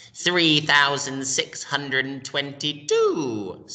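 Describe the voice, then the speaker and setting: Speaking very slowly, a man uses a put-on character voice at a fairly high pitch. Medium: read story. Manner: cold, curt.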